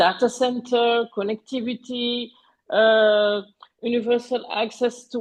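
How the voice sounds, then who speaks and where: In a French accent, a woman speaks at a fairly slow pace with a fairly high pitch and monotone, flat intonation. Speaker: panelist on digital economy. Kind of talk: webinar presentation. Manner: halting, many fillers.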